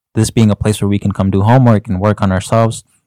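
A man speaks at a very fast pace in a fairly low, dark, mellow voice with monotone, flat intonation. The recording is very clean with a silent background, and the sound is dry and close with no echo. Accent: Chicago. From Chicago. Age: 20s. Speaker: youth ministry volunteer. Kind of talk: podcast conversation.

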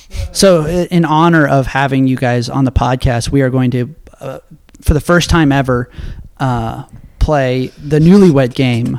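With an ordinary speaking voice, a man speaks at a fairly slow pace, medium in pitch and with ordinary pitch variation. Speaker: podcast host. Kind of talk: casual chat.

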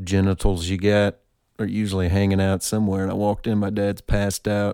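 A man's very deep, low voice with a dark, mellow tone at a moderate pace, on a very clean recording with a silent background. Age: 30s. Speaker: podcast host and musician. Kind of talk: casual monologue.

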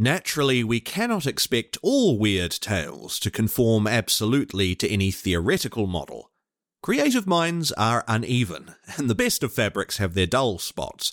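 A man of medium pitch makes very wide pitch swings at very even loudness, captured as a dry, close sound with no echo on a very clean recording with a silent background. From New Zealand. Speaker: podcast host and voice actor. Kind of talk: literary audiobook reading, formal essay read aloud. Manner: measured, formal, solemn and theatrical; deliberate, polished voice-actor narration.

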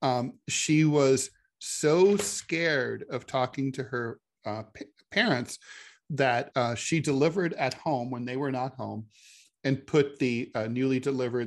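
Against a quiet background, a man with a plain, everyday voice talks at a fairly slow pace, at medium pitch and with ordinary pitch variation. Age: 50s. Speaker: podcast co-host, political commentator. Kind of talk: casual political chat.

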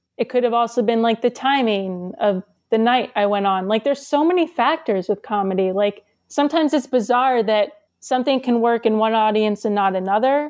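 A woman with an American accent and a plain, everyday voice, fairly high in pitch, at a fairly quick pace with ordinary pitch variation and very even loudness. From New Jersey. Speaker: stand-up comedian. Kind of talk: casual chat. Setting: video call.

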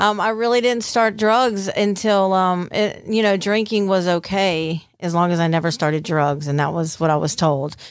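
Hardly pausing, a woman at medium pitch speaks at a moderate pace with very even loudness and ordinary pitch variation. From US South (Mississippi Gulf Coast). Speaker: recovered addict. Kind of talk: testimony.

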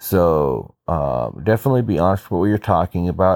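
A man with a very deep, low voice. The sound is dry and close, with no echo. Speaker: business podcast host. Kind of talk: solo monologue. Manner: many filler words.

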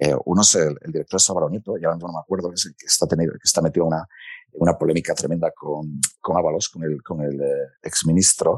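A man rattles off his words at a very fast pace, the sound dry and close with no echo. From Spain, Asturias (Gijón). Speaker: foreign correspondent journalist. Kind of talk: interview conversation.

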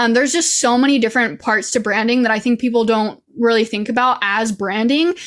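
Speaking very fast in an American accent with hardly any pauses, the voice shows ordinary pitch variation over noticeable background noise. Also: woman, fairly high pitch for a woman. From Idaho. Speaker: social media coach. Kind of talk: interview.

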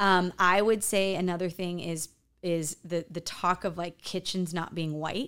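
A woman with an American accent speaks at a fairly slow pace in a fairly low, monotone, flat voice, captured in a very clean recording with a silent background. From US Midwest, farm town near Chicago. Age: 40s. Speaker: interior designer. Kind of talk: casual interview.

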